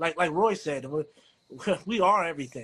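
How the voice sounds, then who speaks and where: A man's normal speaking voice with an American accent at a fairly quick pace. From DMV (Washington DC area). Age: 40s. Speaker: writer, co-host. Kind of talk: casual chat.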